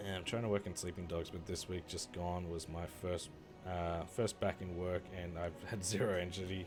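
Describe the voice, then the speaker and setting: Over music in the background, a man with an Australian accent talks at a moderate pace in a very deep, low pitch with monotone, flat intonation. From Australia, Victoria. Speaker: gaming streamer. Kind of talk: casual live-stream chat while gaming. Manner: casual, halting with filler words.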